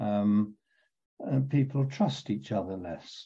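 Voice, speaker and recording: The man's tone is dark and mellow, and his voice somewhat breathy. He talks fairly slowly. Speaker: emeritus professor of epidemiology. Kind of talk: online panel discussion. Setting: video webinar.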